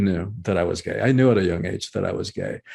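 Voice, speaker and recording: Speaking at a fairly quick pace with a Spanish accent, a man lets his pitch swing very widely. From Cuba, raised in US South (Georgia) then Miami. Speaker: author and breathwork teacher. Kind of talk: interview conversation. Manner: halting, many repetitions.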